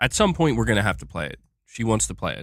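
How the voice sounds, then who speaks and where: On a very clean recording with a silent background, a man with vocal fry and a fairly low pitch talks at a very fast pace with very wide pitch swings. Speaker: gaming news streamer. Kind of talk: live stream chat. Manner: casual.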